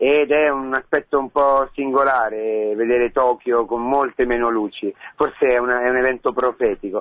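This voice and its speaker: An ordinary speaking voice: a man at medium pitch, moderate pace, fairly even intonation. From Rome, Italy. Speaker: priest. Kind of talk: radio interview testimony.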